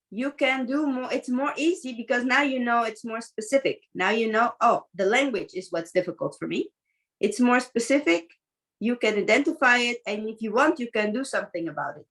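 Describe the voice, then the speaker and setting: Her voice is high in pitch with lively intonation. The woman speaks at a fairly quick pace. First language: not English. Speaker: teacher and mentor. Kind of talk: coaching conversation.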